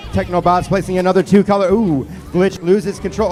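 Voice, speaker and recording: A man speaks at a fairly quick pace in a high voice. Noticeable background noise runs behind him. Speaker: match announcer. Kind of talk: live commentary. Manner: animated.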